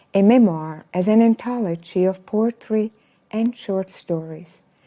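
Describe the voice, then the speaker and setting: A woman with a Swiss German accent speaks at a medium pitch with ordinary pitch variation. Her tone is dark and mellow, and the sound is dry and close with no echo. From German-speaking Switzerland. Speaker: local author. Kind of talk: prepared book talk.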